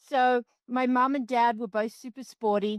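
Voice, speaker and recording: Spoken at a moderate pace with an Australian accent, the clip is very clean with a silent background and a dry, close sound with no echo. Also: woman. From Australia, Canberra. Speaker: extreme sports athlete and coach. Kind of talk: podcast interview.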